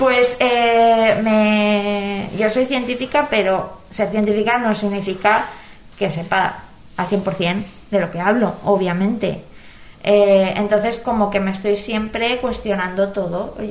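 A woman at medium pitch, very slow delivery, fairly even intonation, audible echo in the room. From Valencia region, Spain. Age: 20s. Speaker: biotechnologist. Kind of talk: interview.

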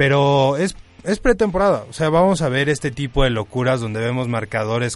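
A man speaks in a plain, everyday voice. His pace is moderate and his pitch variation ordinary. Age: 20s. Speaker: sports co-host on university radio. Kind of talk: casual radio chat. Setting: radio studio.

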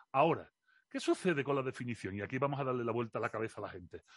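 Speaking at a very fast pace with lively intonation, a man with an Andalusian accent has a medium pitch, and the sound is dry and close with no echo against a quiet background. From Seville, Andalusia. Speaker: philosophy communicator. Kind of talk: interview.

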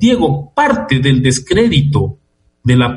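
Somewhat breathy, this man speaks with a fairly high pitch. His intonation is lively. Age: 60s. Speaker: sociologist and political analyst. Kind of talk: radio interview. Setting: remote call from home.

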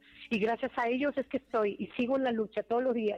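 Music plays behind the speaker. She is a woman with a high-pitched voice. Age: 50s. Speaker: singer. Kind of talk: interview. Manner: animated.

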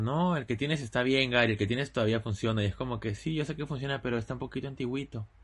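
A man talks at a very fast pace with ordinary pitch variation and a somewhat breathy sound. The background is quiet. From Lima, Peru. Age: 20s. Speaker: podcast co-host. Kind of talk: casual chat.

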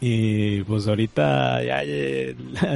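Noticeable background noise accompanies a man speaking with a Mexican accent. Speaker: video game music podcast co-host. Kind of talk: casual chat.

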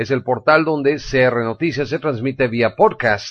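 A man talks at a middle pitch and an even, moderate tempo. It is an ordinary speaking voice. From Mexico. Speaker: news radio host. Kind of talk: news commentary.

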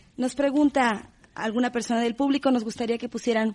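This is a normal speaking voice, a woman's, fairly high in pitch. She moves at a fairly quick pace with fairly even intonation. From Mexico. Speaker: radio host and moderator. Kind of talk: panel moderation.

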